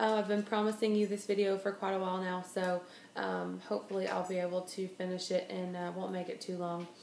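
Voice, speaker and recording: A woman talks at a fairly quick pace with fairly even intonation. Audible room echo and light background noise surround her voice. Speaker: vlogger. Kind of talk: casual vlog chat. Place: home room. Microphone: phone near.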